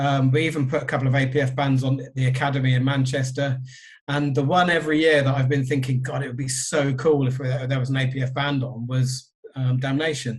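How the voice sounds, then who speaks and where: The man talks at a fairly quick pace in a monotone, flat intonation. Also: medium pitch for a man. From southern England. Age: 50s. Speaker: record label owner. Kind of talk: podcast interview.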